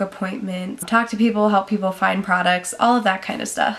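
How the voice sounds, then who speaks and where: A woman talks at a moderate pace in a medium pitch with ordinary pitch variation. Noticeable background noise sits behind her. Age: young. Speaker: vlogger, salon front desk worker. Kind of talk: casual vlog to camera. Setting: talking to camera. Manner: chatty, casual.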